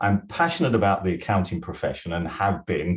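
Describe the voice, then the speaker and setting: Against a quiet background, a man with a British accent speaks fairly quickly in a very deep, low pitch that is somewhat breathy. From UK. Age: 60s. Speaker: retired accountant and business consultant. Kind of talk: webinar interview.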